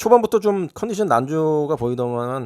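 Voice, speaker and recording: A man with a fairly high pitch talks at a moderate pace, his pitch swinging very widely, on a very clean recording with a silent background. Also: dry, close sound with no echo. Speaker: sports betting tipster. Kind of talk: solo sports betting preview. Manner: casual, hesitant with fillers.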